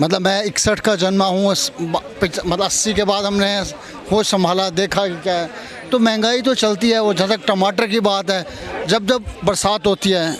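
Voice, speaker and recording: Noticeable background noise sits behind a man speaking at a moderate pace with high pitch. His intonation is fairly even and his loudness very even. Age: 60s. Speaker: street interviewee. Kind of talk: street vox pop interview.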